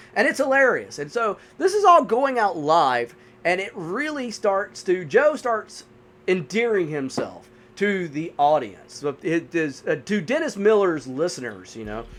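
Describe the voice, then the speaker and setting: A man with a Southern US accent speaks fairly slowly in a high voice, his pitch swinging very widely. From US South, North Carolina. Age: 40s. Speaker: gaming YouTuber and movie reviewer. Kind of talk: casual gameplay commentary and movie review. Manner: casual, filler-heavy.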